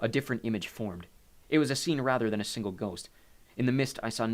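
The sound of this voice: This is an unforced reading voice. It is heard plainly.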